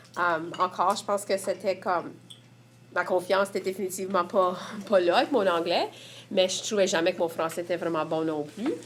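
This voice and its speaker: This woman has an Acadian accent and a medium pitch, with fairly even intonation. She talks at a fairly quick pace but leaves long, frequent pauses. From Prince Edward Island, Évangeline region. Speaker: community member. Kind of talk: testimony.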